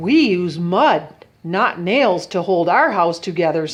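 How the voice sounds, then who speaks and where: In a put-on character voice, a woman speaks at a fairly slow pace and fairly low pitch, with ordinary pitch variation and very even loudness. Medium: read story.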